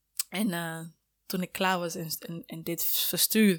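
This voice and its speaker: A woman at medium pitch with fairly even intonation, on a very clean recording with a silent background. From Sierra Leone. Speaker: student and mother. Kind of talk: casual interview.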